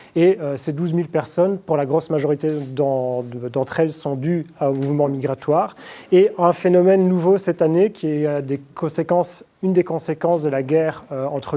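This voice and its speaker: The voice has a dark, mellow tone. Its intonation stays fairly even. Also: man. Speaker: statistician giving a conference talk. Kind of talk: lecture. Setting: conference with audience. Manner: fast; hesitant with fillers.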